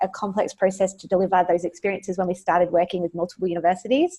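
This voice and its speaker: A woman of medium pitch with an Australian accent. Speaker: education technology executive. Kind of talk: webinar presentation. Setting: webinar, remote. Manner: frequent filler words, hesitant.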